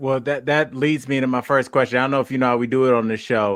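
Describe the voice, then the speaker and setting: This man speaks with an American accent at medium pitch. His intonation is monotone and flat, and the background is quiet. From Ohio. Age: 40s. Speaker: podcast host and comedian. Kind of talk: podcast interview. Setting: podcast.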